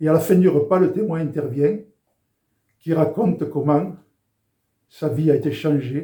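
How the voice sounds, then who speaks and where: Pausing long and often, a man with a dark, mellow tone and a fairly high pitch speaks at a fairly slow pace. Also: ordinary pitch variation. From southern France, Béziers. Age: 70s. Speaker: former rugby international giving faith testimony. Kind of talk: testimony.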